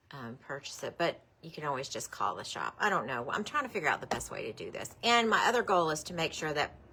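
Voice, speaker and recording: With lively intonation, a woman uses a normal speaking voice at a fairly low pitch. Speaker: quilt shop owner hosting live sale. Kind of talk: live stream product show.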